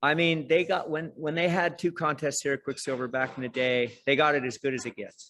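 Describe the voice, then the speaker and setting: Bright and sharp, a man's fairly high voice moves at a fairly quick pace. He leaves hardly any pauses. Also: ordinary pitch variation. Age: 60s. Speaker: surf instructor. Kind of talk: casual chat. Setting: video call. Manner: animated.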